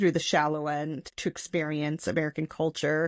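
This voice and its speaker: On a very clean, dry and close recording with no echo and a silent background, a woman speaks at a fairly low pitch. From US, Portuguese immigrant community. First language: Portuguese. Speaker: podcast co-host. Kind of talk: casual chat.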